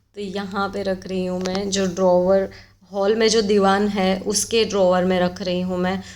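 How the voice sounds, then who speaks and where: The voice belongs to a woman. It lands at a medium pitch. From Gujarat, India. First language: Gujarati (speaking Hindi). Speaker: home vlogger. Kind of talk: home cleaning vlog. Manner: casual, with hesitations.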